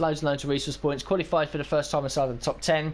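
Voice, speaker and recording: A man talks with a British accent. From Britain. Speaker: gaming YouTuber. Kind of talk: gameplay commentary. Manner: casual, with fillers.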